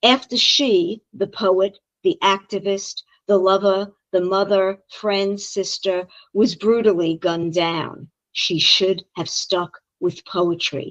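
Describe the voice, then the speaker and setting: Someone speaks very slowly in a Brooklyn accent. The intonation stays fairly even. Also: woman, medium pitch for a woman, dry, close sound with no echo. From Brooklyn, New York. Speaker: poet. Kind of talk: poetry reading.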